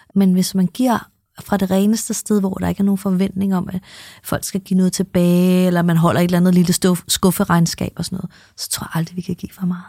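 Speaking very fast, a woman has a medium-pitched voice, a dark, mellow tone and a flat monotone, somewhat breathy. The recording is very clean and silent behind her, dry and close with no echo. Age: 50s. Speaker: podcast co-host and spiritual coach. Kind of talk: casual chat.

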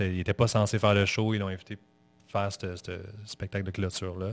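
Monotone, flat intonation in a dry, close sound with no echo, against a quiet background. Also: man. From Montreal, Quebec. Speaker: musician and podcaster. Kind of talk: casual interview chat. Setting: studio. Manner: calm.

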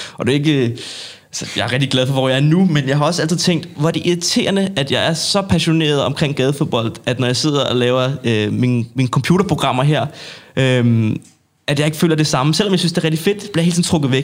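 A man's fairly high pitch, very fast pace and ordinary pitch variation. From Denmark, North Zealand. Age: 20s. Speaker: street sports association chairman. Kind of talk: casual interview. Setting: studio.

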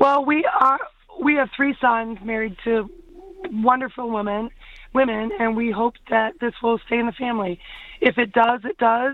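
A woman at a fairly high pitch and moderate pace, with ordinary pitch variation and noticeable background noise. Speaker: cider mill owner. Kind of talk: interview.

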